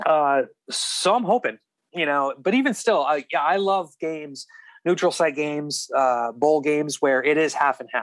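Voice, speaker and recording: This is a man with an unremarkable speaking voice, fairly high in pitch. His pitch varies in an ordinary way, and the sound is dry and close with no echo. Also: moderate pace. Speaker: college beat writer. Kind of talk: casual interview chat.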